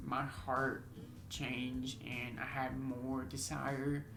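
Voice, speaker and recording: Against noticeable background noise and audible room echo, a man speaks at a very slow pace. His pitch is medium and his intonation fairly even. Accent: American. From Texas. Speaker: YouTuber, deaf man in a couple channel. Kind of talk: casual chat.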